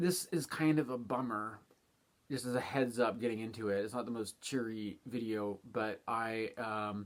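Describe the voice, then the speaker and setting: The speaker is a man with medium pitch. He talks quietly. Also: ordinary pitch variation, moderate pace. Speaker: astrologer. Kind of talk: casual monologue. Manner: quiet, keeping voice down.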